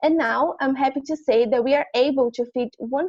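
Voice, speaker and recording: A woman with a Brazilian accent speaks at a moderate pace in a high pitch, with ordinary pitch variation. Her tone is dark and mellow, and the sound is dry and close with no echo. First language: Portuguese. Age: 20s. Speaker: university student. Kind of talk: prepared presentation.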